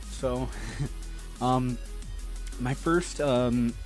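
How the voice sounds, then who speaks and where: Music sits in the background as a man speaks at a very slow pace. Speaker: let's player, voice actor. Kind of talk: casual talk to camera.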